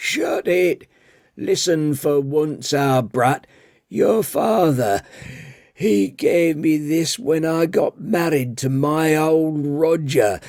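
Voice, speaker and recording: A man does a put-on character voice that is raspy, husky and fairly high in pitch, with lively intonation at a very slow pace. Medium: read story. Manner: blunt, coarse, scolding.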